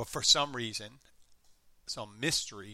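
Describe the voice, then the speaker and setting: A man speaks at a fairly slow pace with a slight Philadelphia accent. The recording is very clean, with a silent background. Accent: light Philadelphia. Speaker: podcast host. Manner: casual, rambling.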